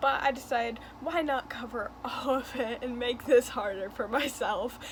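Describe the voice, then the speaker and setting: With lively intonation, a woman speaks at a moderate pace over noticeable background noise. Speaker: YouTuber. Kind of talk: casual commentary video. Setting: filming on bedroom floor at home. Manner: quiet, holding voice down.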